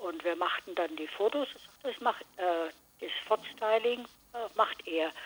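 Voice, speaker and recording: A woman speaks at a very slow pace. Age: 80s+. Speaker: author. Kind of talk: casual chat.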